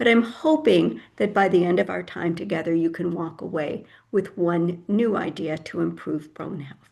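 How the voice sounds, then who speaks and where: Her pitch is fairly low, and she shows vocal fry and lively intonation. The woman keeps a moderate pace with hardly any pauses. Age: 70s. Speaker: health educator speaker. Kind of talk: lecture.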